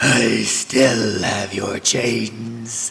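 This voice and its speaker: A man puts on a character voice at a medium pitch. The voice is raspy. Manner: hissing.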